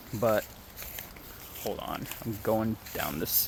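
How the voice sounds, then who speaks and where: A man with an American accent speaks at a medium pitch amid noticeable background noise. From Ohio, US Midwest. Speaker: vlogger. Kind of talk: casual vlog monologue. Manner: halting, self-interrupting.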